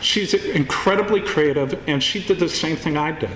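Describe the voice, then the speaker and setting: A fairly high-pitched man at a moderate pace, with ordinary pitch variation over noticeable background noise. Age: 60s. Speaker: filmmaker. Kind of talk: award acceptance speech.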